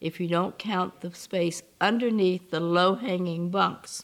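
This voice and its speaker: Speaking very slowly, a woman uses a fairly low pitch. She talks with a Southern US accent. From US South. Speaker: civil rights activist. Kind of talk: interview testimony.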